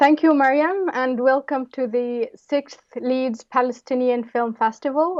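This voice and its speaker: The woman's high voice shows ordinary pitch variation as she proceeds at a moderate pace. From Palestine, West Bank. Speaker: anthropologist and filmmaker, interviewer. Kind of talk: interview.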